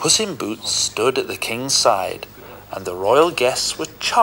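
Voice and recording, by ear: A natural voice reading text aloud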